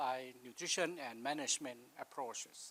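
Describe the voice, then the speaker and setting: A man speaks at a fairly slow pace with a non-native accent and ordinary pitch variation. The sound is dry and close, with no echo. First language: not English. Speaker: livestock nutrition expert. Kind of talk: conference presentation.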